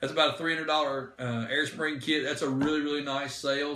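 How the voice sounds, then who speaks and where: A man's voice, with audible room echo and noticeable background noise. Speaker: diesel truck parts seller. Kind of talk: live stream Q&A. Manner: fast.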